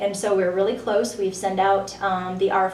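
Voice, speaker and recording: A woman at medium pitch speaks at a moderate pace with fairly even intonation, amid audible room echo and noticeable background noise. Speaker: senior center marketing director. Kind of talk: radio interview.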